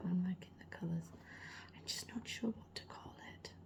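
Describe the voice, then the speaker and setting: Noticeable background noise runs under the speech. The speaker talks at a moderate pace with a British accent. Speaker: ASMR artist. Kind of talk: casual chat over ASMR art sounds. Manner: louder than usual for ASMR, natural speaking level.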